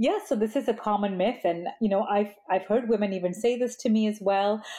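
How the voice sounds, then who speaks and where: Her tone comes across dark and mellow. This woman talks at a moderate pace. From Malaysia, then US. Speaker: psychologist and author. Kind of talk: interview.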